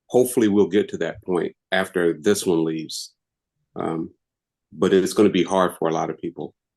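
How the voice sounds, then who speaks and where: A man speaks with a very deep, low pitch. His pace is moderate and his pitch variation ordinary. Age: 60s. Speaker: webinar participant. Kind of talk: casual chat.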